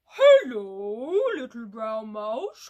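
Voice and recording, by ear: A put-on character voice that sounds female, pitched fairly high for a woman.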